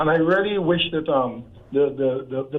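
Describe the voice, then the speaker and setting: A normal speaking voice at a moderate pace. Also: man. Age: 60s. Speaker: caller. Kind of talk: call-in discussion.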